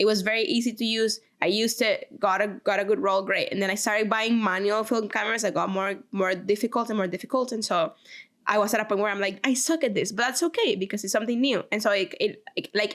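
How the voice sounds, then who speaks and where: A woman's fairly high, animated voice with a Spanish accent, very fast pace and ordinary pitch variation. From Venezuela. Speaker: podcast co-host. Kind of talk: casual chat.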